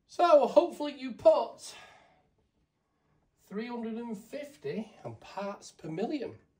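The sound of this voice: A man speaks slowly in a high voice with big pitch swings and a slightly mellow tone, and the room echo is audible.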